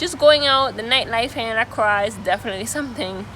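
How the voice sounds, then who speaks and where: With lively intonation, a woman talks at a fairly quick pace over noticeable background noise. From Antigua. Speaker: travel vlogger. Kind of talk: interview answer.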